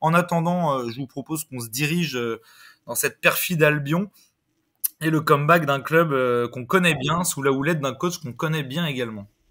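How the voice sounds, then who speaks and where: A man at a moderate pace, fairly high-pitched with a bright, sharp tone and big swings in loudness, on a very clean recording with a silent background. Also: ordinary pitch variation. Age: 20s. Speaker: football podcast host. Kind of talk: casual chat; scripted narration.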